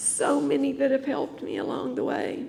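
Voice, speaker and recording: A woman with a North Carolina accent and vocal fry talks at a fairly slow pace. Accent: Southern American (North Carolina). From US South, Greensboro North Carolina. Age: 60s. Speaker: church member giving testimony. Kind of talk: testimony.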